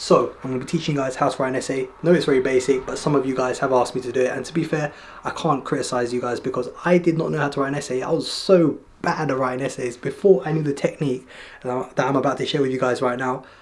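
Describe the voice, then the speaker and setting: Noticeable background noise sits behind a man's fairly high voice. He speaks at a very fast pace with fairly even intonation. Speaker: educational youtuber. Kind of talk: tutorial. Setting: at home, night. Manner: casual.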